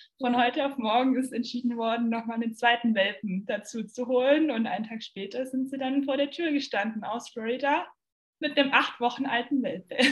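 A woman speaks in a high pitch at a fairly quick pace. Her intonation stays fairly even. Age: 20s. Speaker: former au pair, university student. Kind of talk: casual chat.

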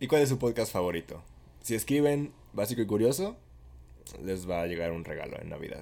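A man speaks with a dark, mellow tone, very wide pitch swings and big swings in loudness. Long, frequent pauses break up his speech. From Mexico. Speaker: podcast co-host. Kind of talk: casual chat.

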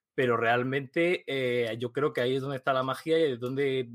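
The voice is an unremarkable speaking voice with fairly even intonation and a fairly quick pace. The sound is dry and close, with no echo. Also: man. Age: 20s. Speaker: tech entrepreneur. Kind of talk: interview.

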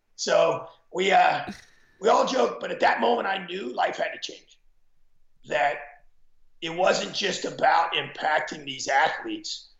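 With audible room echo, a man talks at a fairly slow pace, leaving long, frequent pauses. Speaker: former football coach. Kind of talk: interview storytelling.

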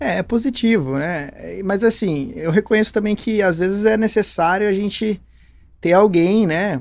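A man's high-pitched voice comes through on a very clean recording, the background silent. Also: ordinary pitch variation, moderate pace. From Brazil, Campinas (São Paulo state). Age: 30s. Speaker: entrepreneur. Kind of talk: interview. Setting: studio.

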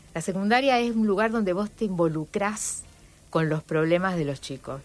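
At a moderate pace, a woman talks with ordinary pitch variation. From Rosario, Argentina. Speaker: historian and university teacher. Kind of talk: radio interview. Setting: radio studio.

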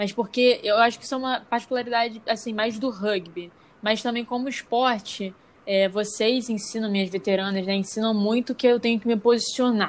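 Speaking at a fairly quick pace, a woman with an ordinary speaking voice and a fairly high pitch keeps her intonation fairly even. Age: young. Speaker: podcast co-host, student. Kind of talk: casual chat.

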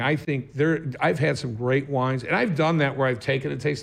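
A man with an ordinary speaking voice keeps a moderate pace, his medium pitch showing ordinary pitch variation. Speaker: podcast host. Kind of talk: casual chat. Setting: studio. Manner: casual, joking.

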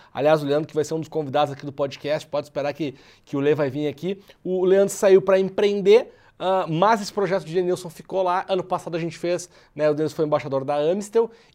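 Very fast speech from a high-pitched man in a southern Brazilian accent, with ordinary pitch variation and a quiet background. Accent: Porto Alegre (gaúcho). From southern Brazil, Porto Alegre. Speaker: podcast host, public relations entrepreneur. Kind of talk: casual interview podcast.

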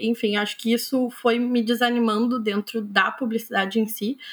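A woman with a fairly high voice speaks at a fairly slow pace, her intonation fairly even. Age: 20s. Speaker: author. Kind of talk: interview. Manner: hesitant, many fillers.

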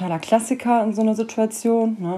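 At a fairly slow pace, a woman speaks. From Cologne, Germany. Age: 30s. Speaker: podcaster in addiction recovery. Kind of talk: personal monologue.

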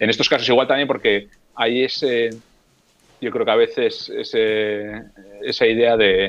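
The speaker is a man. He talks at a moderate pace. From Basque Country, Spain (Getxo near Bilbao). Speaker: former embassy worker, guitarist and youtuber. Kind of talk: casual chat.

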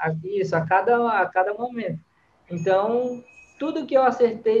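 A man's voice at a fairly slow pace with lively intonation. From Brazil, Fortaleza, Ceará. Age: 30s. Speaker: freestyle football influencer, ex-athlete. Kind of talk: casual interview.

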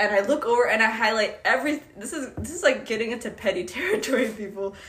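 Her fairly high, somewhat breathy voice races along at a very fast pace as this woman speaks with lively intonation. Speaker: college student podcast co-host. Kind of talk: casual chat.

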